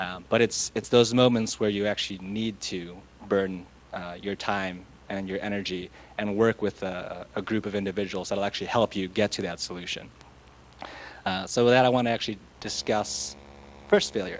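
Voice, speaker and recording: A moderate pace and fairly even intonation. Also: man, fairly low pitch for a man. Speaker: scientist giving keynote. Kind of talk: keynote talk. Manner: soft-spoken; hesitant, many fillers.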